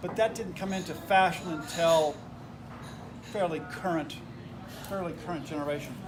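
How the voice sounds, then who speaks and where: Amid noticeable background noise and audible room echo, a high-pitched man with an American accent speaks with ordinary pitch variation. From United States. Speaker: wine tasting instructor. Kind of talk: tasting class lecture.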